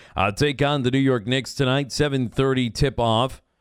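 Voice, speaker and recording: In a very clean recording with a silent background, a man talks at a moderate pace in a normal speaking voice, medium in pitch, with ordinary pitch variation. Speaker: radio sports host. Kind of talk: radio dj patter: upbeat station promos, weather and sports rundowns. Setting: studio.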